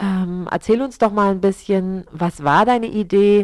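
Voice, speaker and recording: A woman's normal speaking voice at medium pitch and a moderate pace, in a dry, close sound with no echo. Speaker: community radio host. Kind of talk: radio interview.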